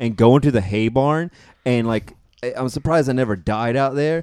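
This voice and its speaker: A man speaks at a fairly quick pace and medium pitch, with ordinary pitch variation. He has a plain, everyday voice. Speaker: podcast guest. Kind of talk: casual chat.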